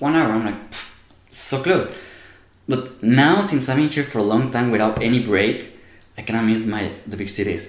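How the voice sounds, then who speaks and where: Audible room echo surrounds a man with a Spanish accent speaking at a moderate pace. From Mexico. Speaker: university student. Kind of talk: casual interview.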